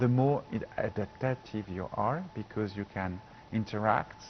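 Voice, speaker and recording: A man with a French accent talks at a fairly slow pace with lively intonation over noticeable background noise. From France. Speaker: professor. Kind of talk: TV interview. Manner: halting.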